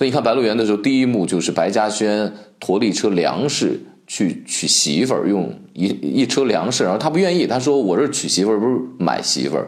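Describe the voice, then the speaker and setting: Pitched fairly low with vocal fry, a man talks at a fairly quick pace with very wide pitch swings. His loudness stays very even, and room echo is audible. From Shaanxi, Guanzhong. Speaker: podcast host, food commentator. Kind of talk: solo podcast monologue.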